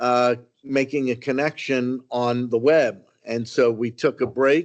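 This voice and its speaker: A man at medium pitch talks with fairly even intonation. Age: 60s. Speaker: county commissioner. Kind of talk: public meeting remarks. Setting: public meeting room, broadcast live. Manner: halting, many fillers.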